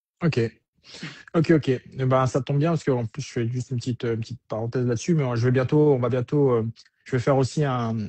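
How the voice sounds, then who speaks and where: A man with a somewhat breathy, medium-pitched voice talks at a very fast pace. His intonation stays fairly even, broken by long, frequent pauses. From Germany, French military family. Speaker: military career coach. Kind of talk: live interview. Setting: online livestream.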